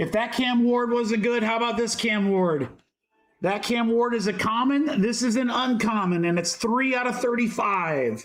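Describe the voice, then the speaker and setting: With music in the background, the voice moves at a moderate pace, with ordinary pitch variation and very even loudness. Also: man, extremely high pitch for a man. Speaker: sports card breaker, livestream host. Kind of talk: live card-break commentary. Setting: livestream. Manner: animated.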